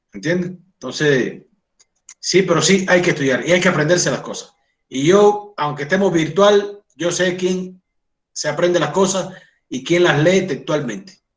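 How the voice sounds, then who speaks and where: A man with a Cuban accent and a high pitch, ordinary pitch variation, and audible room echo. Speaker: doctor and college lecturer. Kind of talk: lecture. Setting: online class.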